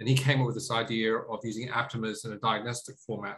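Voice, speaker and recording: A man's voice with an Australian accent and fairly even intonation. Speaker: tech company CEO. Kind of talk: interview. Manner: halting, many fillers.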